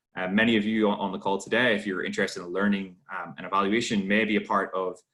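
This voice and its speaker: A man with an Irish accent, fairly low-pitched and fairly even in intonation. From Ireland. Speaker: webinar host and trainer. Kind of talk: online workshop Q&A. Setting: video call. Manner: halting, many fillers.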